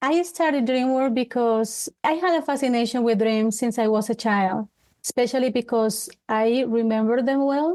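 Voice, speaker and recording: A woman's high voice with a dark, mellow tone and a Colombian accent, moderate pace, ordinary pitch variation, and a quiet background. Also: very even loudness. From Colombia, Bogota. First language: Spanish. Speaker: life coach. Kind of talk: interview. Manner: halting.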